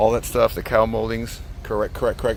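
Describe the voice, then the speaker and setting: Noticeable background noise behind a man's moderate-speed delivery. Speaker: car seller. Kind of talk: casual walkaround video.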